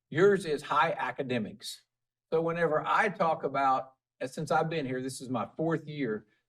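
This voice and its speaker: A man with a normal speaking voice, fairly high in pitch, with ordinary pitch variation. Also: moderate pace. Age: 50s. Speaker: school superintendent. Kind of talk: casual interview chat.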